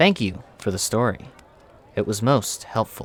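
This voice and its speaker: A put-on character voice sounds croaky, with ordinary pitch variation. It moves at a moderate pace. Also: man, medium pitch for a man. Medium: read story.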